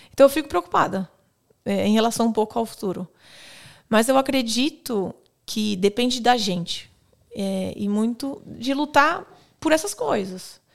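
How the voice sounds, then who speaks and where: In a very clean recording with a silent background, a woman speaks at a fairly slow pace with long, frequent pauses. Her fairly high voice carries lively intonation. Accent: Brazilian. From Brazil. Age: 30s. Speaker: police officer. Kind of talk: casual chat.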